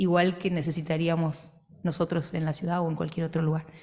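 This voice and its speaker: A plain, everyday voice, a woman's, fairly low in pitch and at a moderate pace. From Trelew, Patagonia, Argentina. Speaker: theatre director and author. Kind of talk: book presentation. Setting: radio auditorium with audience.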